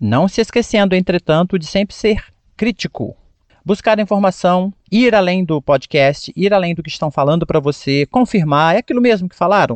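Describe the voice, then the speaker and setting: Lively intonation runs through a man's high-pitched voice. He keeps a moderate pace. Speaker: English teacher podcaster. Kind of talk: tutorial. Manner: animated.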